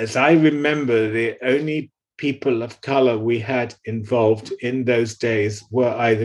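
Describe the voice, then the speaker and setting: At a moderate pace and medium pitch, a man talks in a normal speaking voice with fairly even intonation. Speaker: early HIV volunteer and founder. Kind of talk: interview recollection.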